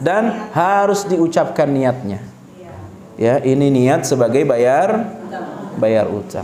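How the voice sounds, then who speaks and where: Amid noticeable background noise and audible room echo, a man with a fairly high pitch speaks at a very slow pace. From Sulawesi, Indonesia. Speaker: Islamic preacher. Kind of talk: religious lecture Q&A.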